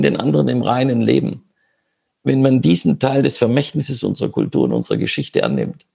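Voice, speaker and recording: Medium in pitch with a dark, mellow tone, a man speaks at a moderate pace with vocal fry. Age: 50s. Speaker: politician. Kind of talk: online panel discussion. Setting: video call.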